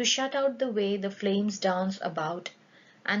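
Pitch variation stays ordinary throughout this plain reading aloud.

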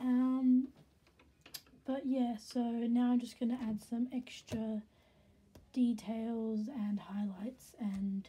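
Against noticeable background noise, a woman speaks with a fairly high pitch and fairly even intonation. Her pace is very slow, with long, frequent pauses. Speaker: hobby artist. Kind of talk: casual voice-over for drawing video.

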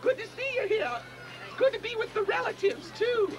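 A man's cartoonish character voice, extremely high in pitch, at a fairly quick pace over clear background noise. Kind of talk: Punch and Judy puppet show.

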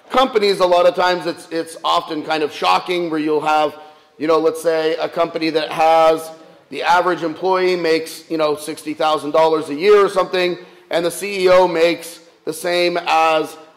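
The man speaks at a moderate pace in a monotone, flat intonation. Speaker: priest. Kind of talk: sermon. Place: church. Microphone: camera far.

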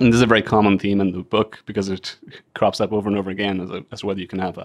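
Speaking at a very fast pace, a man with a low pitch keeps little pitch movement.

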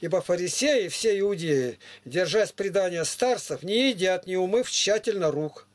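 A man with a high-pitched voice talks fairly slowly. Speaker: preacher reading scripture to strangers. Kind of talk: scripture reading. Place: home room.

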